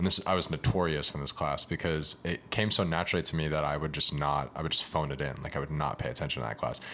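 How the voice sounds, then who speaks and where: Speaking at a very fast pace with hardly any pauses, a man with an American accent has very deep, low pitch, a bright, sharp tone, vocal fry and ordinary pitch variation. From Massachusetts, Lowell (Boston area). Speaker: actor and playwright. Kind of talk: casual chat.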